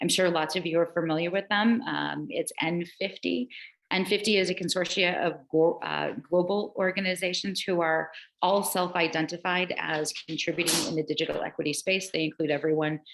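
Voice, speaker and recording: This woman has a fairly low pitch and vocal fry. Her pitch varies in an ordinary way. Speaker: presenter on digital equity. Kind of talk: online meeting presentation. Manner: fast.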